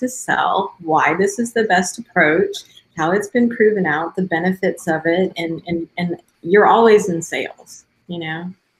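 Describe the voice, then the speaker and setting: This voice is somewhat breathy and moves at a moderate pace. Its intonation is lively. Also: woman. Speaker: software developer. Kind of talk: casual panel chat.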